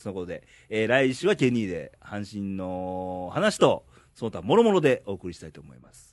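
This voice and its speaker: Lively intonation marks a man's fairly low voice at a moderate pace. He has an ordinary speaking voice. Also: quiet background. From Ehime, Japan. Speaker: podcast host. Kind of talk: casual chat.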